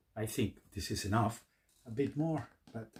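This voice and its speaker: A somewhat breathy male voice. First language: Spanish. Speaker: YouTuber, hobbyist. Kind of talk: tutorial. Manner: halting.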